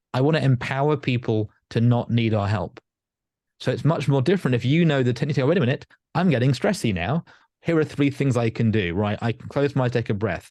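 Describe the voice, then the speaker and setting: Against a quiet background, a man with a southern English accent and medium pitch talks at a fairly quick pace with lively intonation. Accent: sounds like southern England. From northern England. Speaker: life coach and hypnotherapist. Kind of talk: podcast interview.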